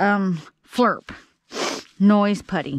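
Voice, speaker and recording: A woman talks at a very slow pace in a dry sound with no echo, though noticeable background noise is present. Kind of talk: casual vlog chat. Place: open country. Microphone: phone near.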